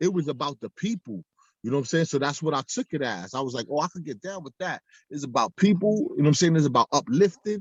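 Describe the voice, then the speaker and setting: The speaker races along at a very fast pace with very wide pitch swings, in a dry, close sound with no echo. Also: man. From New York City, the Bronx. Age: 40s. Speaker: former gang member and ex-prisoner. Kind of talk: casual interview. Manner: animated.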